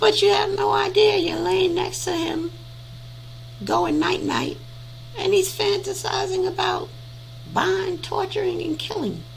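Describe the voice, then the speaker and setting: A woman talks with long, frequent pauses. There is noticeable background noise and audible room echo. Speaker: audiobook reader on a live stream. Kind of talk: casual chat after reading aloud. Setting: live stream. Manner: conversational, with hesitations.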